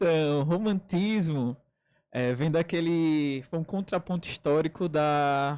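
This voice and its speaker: A man talks at a very slow pace and a fairly high pitch, his loudness very even, in a very clean recording with a silent background. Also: ordinary pitch variation. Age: 20s. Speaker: writer and DJ. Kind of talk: radio interview. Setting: radio studio.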